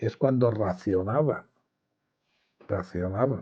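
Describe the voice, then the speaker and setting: Against a quiet background, a man's dark, mellow tone carries ordinary pitch variation. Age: 80s+. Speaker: war survivor. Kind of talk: interview answer.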